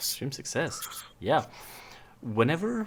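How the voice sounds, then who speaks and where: A man with a non-native accent. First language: not English. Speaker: tabletop game master. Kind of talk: tabletop roleplaying session.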